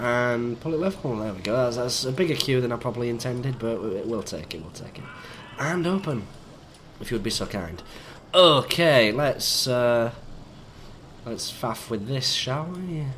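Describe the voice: A croaky voice with lively intonation, a fairly bright tone and a moderate pace. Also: man, medium pitch for a man.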